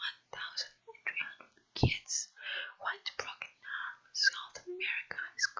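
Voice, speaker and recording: A whisper at a fairly slow pace. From Brazil. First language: Portuguese. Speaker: non-native English learner practicing reading aloud. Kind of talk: ASMR whispered book reading. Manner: whispered.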